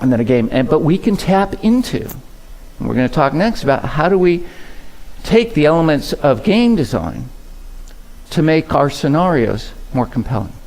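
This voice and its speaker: Very wide pitch swings mark a man's fairly high voice, broken by long, frequent pauses. Room echo is audible. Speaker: keynote speaker. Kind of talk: conference keynote. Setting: stage with audience. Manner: fast when passionate; conversational, engaging.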